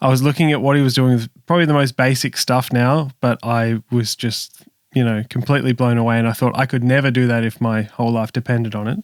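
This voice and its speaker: A man with a medium pitch speaks at a very fast pace with hardly any pauses and fairly even intonation. The recording is very clean, with a silent background and a dry, close sound with no echo. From Australia, Sydney. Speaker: music producer and session bass player. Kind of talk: podcast interview.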